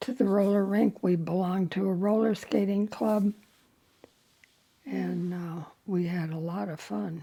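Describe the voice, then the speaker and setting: A woman with an American accent, a medium pitch, and a dark, mellow tone, at a fairly slow pace with fairly even intonation and long, frequent pauses. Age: 80s+. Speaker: Greatest Generation. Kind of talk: interview answer.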